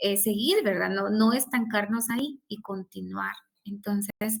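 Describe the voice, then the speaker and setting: The speaker is a woman with medium pitch. She is somewhat breathy and talks at a fairly slow pace. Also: fairly even intonation. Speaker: law professor. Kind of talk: lecture.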